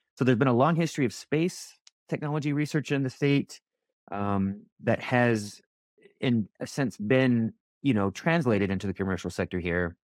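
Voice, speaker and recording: A man speaks in a plain, everyday voice at a moderate pace, with medium pitch and an American accent. His intonation is lively, and the recording is very clean and dry, close-miked with no echo against a silent background. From US Southwest, Roswell, New Mexico. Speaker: defense research program director, Air Force veteran. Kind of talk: podcast interview. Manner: frequent fillers and repetitions.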